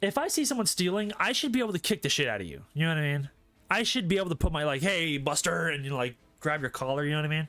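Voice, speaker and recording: Loud and animated, a man talks at a very fast pace in a fairly high pitch, with a bright, sharp tone and lively intonation. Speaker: streamer. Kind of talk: casual chat.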